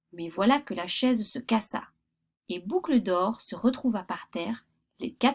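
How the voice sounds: Over a quiet background, the text is read in a natural reading voice.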